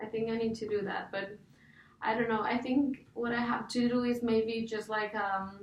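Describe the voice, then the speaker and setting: A woman speaks with a Spanish accent at a fairly high pitch, her intonation flat and monotone, with noticeable background noise and audible room echo. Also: moderate pace. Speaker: coaching client, graduate student. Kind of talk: coaching session. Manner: halting.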